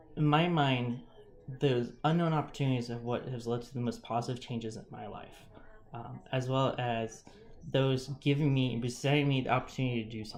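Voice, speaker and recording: Audible room echo surrounds a medium-pitched man speaking at a fairly quick pace. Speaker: student presenting a class assignment. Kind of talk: recorded presentation, semi-casual. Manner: halting, many fillers.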